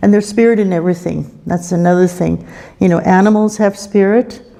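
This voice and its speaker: Noticeable background noise fills the recording. Through it, a woman talks with fairly even intonation. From Canada, Cree First Nation. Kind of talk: spiritual talk at a conference opening. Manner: calm, reflective.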